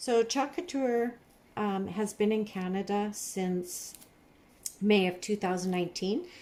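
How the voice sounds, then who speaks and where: Quietly and at a fairly slow pace, a woman talks at a medium pitch with a dark, mellow tone and ordinary pitch variation. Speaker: craft designer and seller. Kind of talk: tutorial. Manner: quiet while concentrating.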